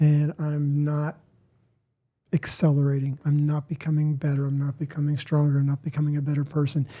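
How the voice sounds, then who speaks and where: Speaking at a moderate pace, a man uses a fairly high, somewhat breathy voice with a dark, mellow tone. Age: 60s. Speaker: fitness group workout leader. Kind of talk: casual chat.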